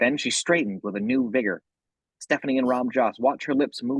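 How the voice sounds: Against quiet surroundings, someone reads in a natural voice.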